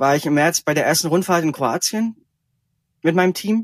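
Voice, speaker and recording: On a very clean recording with a silent background and a dry, close sound free of echo, a man talks fairly quickly at a fairly high pitch. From Franconia, Germany. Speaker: ultracycling racer. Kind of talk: interview.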